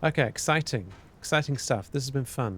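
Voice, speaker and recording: A man with a British accent speaks at a fairly quick pace in a calm, somewhat breathy tone with ordinary pitch variation, on a very clean recording with a silent background. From UK. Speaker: live streamer studying a textbook. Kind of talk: casual live-stream chat. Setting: live stream.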